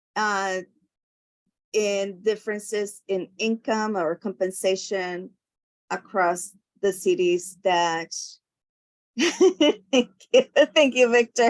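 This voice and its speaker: Speaking very slowly with long, frequent pauses, a woman with a non-native accent uses a medium pitch and ordinary pitch variation in a dry, close sound with no echo. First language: not English. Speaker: commission member. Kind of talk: public meeting discussion. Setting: video call. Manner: halting.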